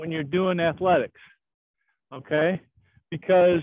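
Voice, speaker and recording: Against a quiet background, a man talks in a high voice with a dry sound and no echo. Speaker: karate instructor. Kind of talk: class instruction. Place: open country.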